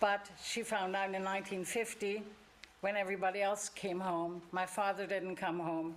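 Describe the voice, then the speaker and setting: Here a woman speaks in a German accent at a moderate pace. Her medium-pitched voice has monotone, flat intonation. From Germany. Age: 80s+. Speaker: church member sharing life story. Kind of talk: testimony. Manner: halting.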